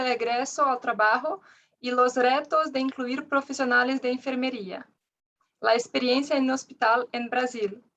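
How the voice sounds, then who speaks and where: With a non-native accent, a woman speaks slowly-ish at a high pitch, her tone bright and sharp and her intonation fairly even. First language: Portuguese (speaking Spanish). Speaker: occupational therapist and ergonomist. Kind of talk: reading aloud presentation.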